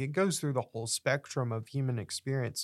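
Showing ordinary pitch variation, a man speaks in an unremarkable speaking voice. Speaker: co-host.

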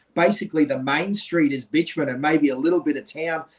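Speaking in an Australian accent, a man with a fairly high pitch talks at a fairly quick pace. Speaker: podcast co-host. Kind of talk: casual interview chat. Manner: animated.

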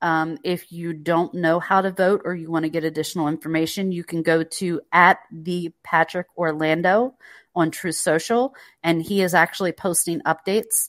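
A woman with an American accent speaks at a moderate pace, fairly low in pitch, with fairly even intonation. The recording is very clean with a silent background and a dry, close sound with no echo. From North Carolina. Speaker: podcast guest, social media user. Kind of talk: casual chat.

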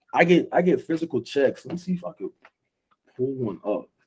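At a moderate pace, a man speaks with vocal fry in a dark, mellow tone and a fairly high pitch. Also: long, frequent pauses, big swings in loudness. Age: 20s. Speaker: podcast host. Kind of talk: casual chat.

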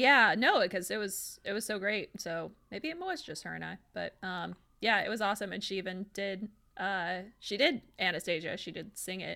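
On a very clean recording with a silent background, a woman with a bright, sharp tone and vocal fry talks at a moderate pace in a medium pitch with ordinary pitch variation. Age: 30s. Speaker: math teacher. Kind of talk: casual chat.

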